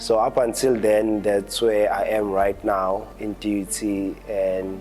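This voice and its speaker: Music plays in the background as a man speaks in a fairly low pitch. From Pietermaritzburg, South Africa. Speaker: architecture graduate. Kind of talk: interview answer.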